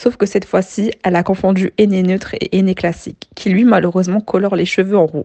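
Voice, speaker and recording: This woman has a medium pitch and a normal speaking voice. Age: 20s. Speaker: finance worker with side business. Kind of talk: scripted testimony.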